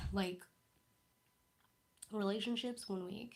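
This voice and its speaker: A woman's fairly high, somewhat breathy voice in a monotone, flat intonation. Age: 20s. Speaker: blind YouTuber reading her old diary. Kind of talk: casual livestream chat. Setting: livestream.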